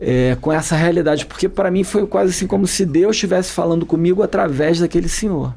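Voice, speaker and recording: Hardly pausing, a man speaks at a fairly quick pace and a high pitch, with very even loudness and ordinary pitch variation. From Rio de Janeiro, suburbs. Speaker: political campaign strategist. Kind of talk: interview conversation. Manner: halting.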